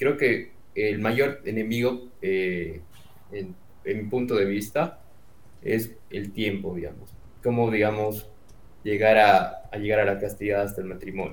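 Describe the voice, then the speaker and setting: With long, frequent pauses, a man speaks at a fairly low pitch and fairly even intonation, audible room echo around him. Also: fairly slow pace. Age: 20s. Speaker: university student. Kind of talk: casual chat. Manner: halting.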